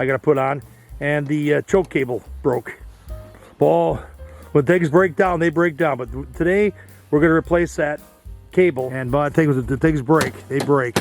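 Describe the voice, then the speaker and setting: Over music in the background, a man with fairly high pitch and ordinary pitch variation speaks with long, frequent pauses. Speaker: DIY repair video host. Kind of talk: instructional talk while repairing. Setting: outdoors. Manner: fast.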